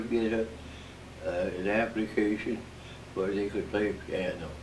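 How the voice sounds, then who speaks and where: A man with an American accent, fairly low in pitch, monotone and flat in intonation, over noticeable background noise. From Midwestern United States. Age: 80s+. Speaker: war veteran. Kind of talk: interview answer.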